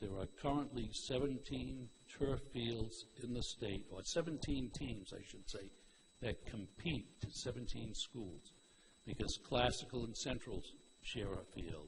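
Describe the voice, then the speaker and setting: Over noticeable background noise, a man at a medium pitch speaks at a fairly slow pace with vocal fry. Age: 70s. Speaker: public commenter at school committee meeting. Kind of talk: public comment at meeting. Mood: earnest, mildly critical. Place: hall.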